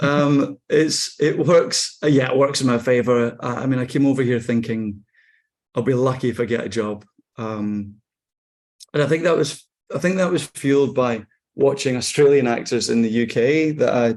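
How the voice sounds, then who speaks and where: A man speaks with a Scottish accent at a medium pitch. His pace is moderate, with ordinary pitch variation. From Scotland. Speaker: actor. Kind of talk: interview conversation.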